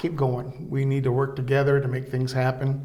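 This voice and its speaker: Over noticeable background noise and audible room echo, a man with an American accent speaks in a medium pitch with monotone, flat intonation. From US Midwest, east-central Illinois. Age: 70s. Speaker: small-town mayor. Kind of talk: interview. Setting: city hall. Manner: brief answers.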